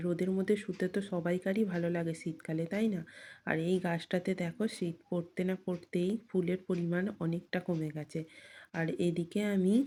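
A woman's fairly low, dark and mellow voice in a monotone, flat delivery, on a very clean recording with a silent background. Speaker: vlogger. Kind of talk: casual vlog narration. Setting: outdoors on the street.

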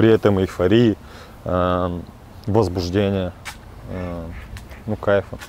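A man's very deep, low voice, monotone and flat, very slow with long, frequent pauses, over light background noise. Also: dry sound with no echo. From Chelyabinsk, Russia. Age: young. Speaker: recovering drug addict in rehabilitation. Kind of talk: interview answer. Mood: sober, regretful. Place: waterside. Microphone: lapel.

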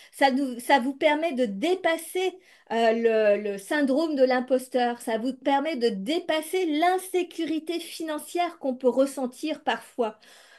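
Over a quiet background, a woman with a high voice talks at a very slow pace, her intonation lively and her speech almost free of pauses. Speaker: entrepreneur and online coach. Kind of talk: pep talk, motivational coaching speech to the audience. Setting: online video masterclass. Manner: animated, emphatic, persuasive; repetitive, insistent, driving points home. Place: home room. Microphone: webcam.

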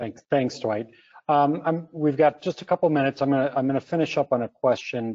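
At a fairly quick pace, a man talks in a plain, everyday voice with an American accent and ordinary pitch variation. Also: fairly high pitch for a man. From US Midwest (Minnesota). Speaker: webinar moderator, consultancy co-founder. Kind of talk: moderated webinar panel. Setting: video call webinar.

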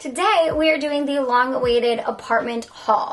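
Her pitch moves up and down in an ordinary way. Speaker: lifestyle vlogger. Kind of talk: casual vlog chat.

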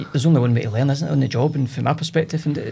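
Speaking at a very fast pace with a Scottish central belt accent, a man sounds somewhat breathy and shows ordinary pitch variation. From Scotland, Cumbernauld; Scotland. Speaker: business owner, entrepreneur; podcast guest. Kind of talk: casual interview chat. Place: studio. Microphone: studio mic.

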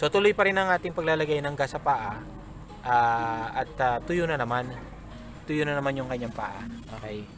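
A fairly high-pitched man at a moderate pace with lively intonation, amid noticeable background noise. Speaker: gamefowl breeder vlogger. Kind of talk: tutorial. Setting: outdoors at a poultry pen. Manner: halting, many fillers.

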